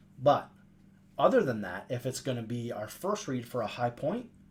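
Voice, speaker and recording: The speaker is a man with a medium pitch. There is some breathiness in his voice. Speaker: video game tips youtuber. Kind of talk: gameplay tutorial. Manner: fast.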